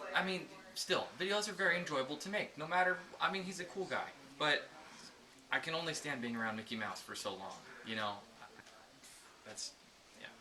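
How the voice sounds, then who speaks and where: Speaking at a fairly quick pace yet with long, frequent pauses, a man with a high pitch makes very wide pitch swings over noticeable background noise. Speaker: comedy video maker. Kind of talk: comedic behind-the-scenes banter.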